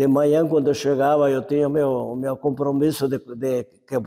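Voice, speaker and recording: With a dark, mellow tone and flat, monotone intonation, a man talks at a fairly slow pace in a fairly high pitch. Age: 80s+. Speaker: elderly community member interviewed. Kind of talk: oral history interview. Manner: halting, with repetitions.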